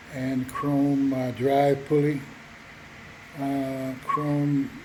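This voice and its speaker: A man speaks very slowly at a fairly high pitch in a monotone, flat intonation, with audible room echo and noticeable background noise. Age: 60s. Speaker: motorcycle seller. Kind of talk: casual walkaround sales video. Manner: halting, many fillers.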